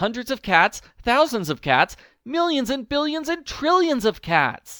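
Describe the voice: In a put-on character voice, a man speaks at a fairly slow pace with an extremely high pitch, a bright, sharp tone and big pitch swings, the sound dry and close with no echo.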